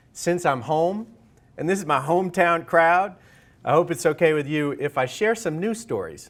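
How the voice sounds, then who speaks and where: A man with an American accent speaks at a moderate pace with lively intonation in a plain, everyday voice, on a very clean recording with a silent background. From New York. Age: 40s. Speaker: author and leadership consultant. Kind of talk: lecture. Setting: stage with audience.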